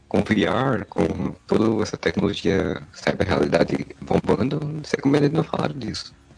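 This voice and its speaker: Using very wide pitch swings, a man with a fairly low pitch speaks at a moderate pace. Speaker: podcast host. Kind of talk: casual chat.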